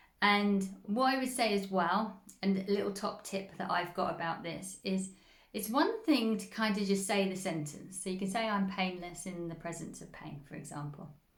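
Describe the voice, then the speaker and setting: A woman's medium-pitched voice at a moderate pace, with ordinary pitch variation, big swings in loudness and audible room echo. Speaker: spiritual healing coach. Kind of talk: instructional talk.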